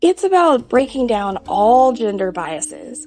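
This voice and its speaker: A woman speaks in a fairly high voice with very wide pitch swings. Music plays in the background. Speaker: discussion participant. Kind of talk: casual chat.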